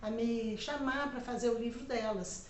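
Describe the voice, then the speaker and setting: A woman's voice carries audible room echo. Noticeable background noise runs underneath. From Minas Gerais, Brazil (Belo Horizonte). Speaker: writer and retired journalist. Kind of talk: educational talk to students.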